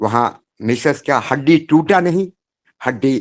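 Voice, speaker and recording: Using a normal speaking voice, a man talks at a fairly high pitch with lively intonation. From Madhya Pradesh, India. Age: 60s. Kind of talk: testimony. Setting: remote call from home.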